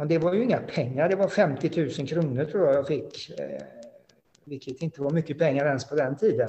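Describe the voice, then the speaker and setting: A man with lively intonation. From Sweden, Halland (Frillesås). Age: 50s. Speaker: former racing driver. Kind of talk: interview. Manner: halting.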